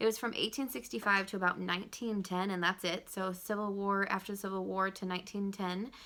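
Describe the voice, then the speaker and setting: Over a silent background in a very clean recording, a woman speaks at a fairly quick pace with hardly any pauses. Her tone is bright and sharp, and her intonation fairly even. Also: medium pitch for a woman. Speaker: junior high history teacher. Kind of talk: recorded video lesson for students. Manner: fast; casual, filler-heavy.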